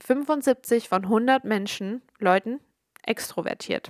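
Dry and close with no echo, a woman's fairly high voice moves at a very slow pace with ordinary pitch variation. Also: very clean recording, silent background. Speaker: podcast host. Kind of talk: casual solo monologue.

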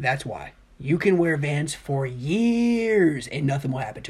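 Noticeable background noise accompanies a woman talking in an American accent. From US Midwest, Dayton, Ohio. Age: 20s. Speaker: podcast co-host. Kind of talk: casual debate. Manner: animated.

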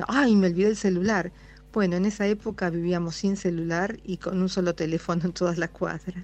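A woman's normal speaking voice, medium in pitch, at a fairly quick pace with fairly even intonation. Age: 60s. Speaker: radio listener sending a voice message. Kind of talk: recorded listener anecdote.

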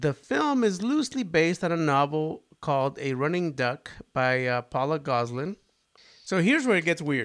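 In a very clean recording with a silent background, a plain, everyday voice moves at a moderate pace with lively intonation. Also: man, fairly high pitch for a man. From Spanish-speaking country, moved to US as child. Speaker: podcast co-host. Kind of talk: casual chat.

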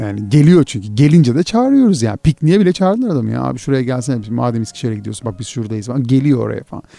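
Very fast delivery with lively intonation, a dark, mellow tone and hardly any pauses. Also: man, medium pitch for a man. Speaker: podcast host. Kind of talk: casual chat.

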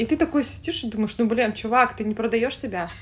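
A woman with a fairly high pitch speaks in a somewhat breathy way. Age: 30s. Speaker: florist and entrepreneur. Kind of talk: casual chat.

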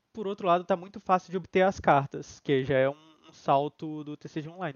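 A man with a plain, everyday voice speaks at a fairly high pitch with ordinary pitch variation, in a dry, close sound with no echo. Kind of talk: casual chat. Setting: live stream.

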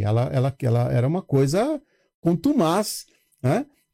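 On a very clean recording with a silent background, a man's dark, mellow voice makes very wide pitch swings in a dry, close sound with no echo. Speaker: building manager. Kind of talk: casual chat.

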